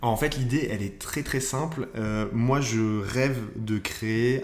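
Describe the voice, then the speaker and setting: Audible room echo and noticeable background noise surround a man talking at a fairly slow pace. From northern France (Nord, near Lille). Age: 20s. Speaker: entrepreneur. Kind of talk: interview. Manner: hesitant, many fillers.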